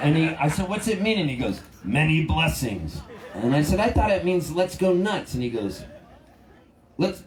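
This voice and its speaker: The intonation is lively. Room echo is audible. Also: man. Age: 60s. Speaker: singer-songwriter. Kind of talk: storytelling between songs at a concert. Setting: outdoor festival stage with audience. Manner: animated.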